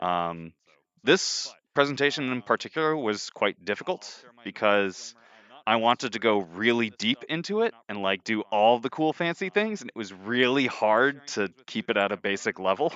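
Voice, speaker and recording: Using lively intonation, a man speaks at a medium pitch. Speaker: software engineer presenting a tech talk. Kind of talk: presentation to a live group. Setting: live stream. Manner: speaks quickly when excited; casual with many filler words.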